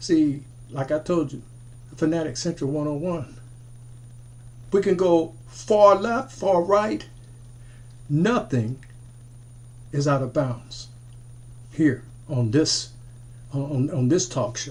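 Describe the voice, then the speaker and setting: Somewhat breathy and fairly high-pitched, a man speaks at a very slow pace with lively intonation and long, frequent pauses. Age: 60s. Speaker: military veteran and commentator. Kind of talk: monologue commentary video. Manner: repetitive, halting restarts.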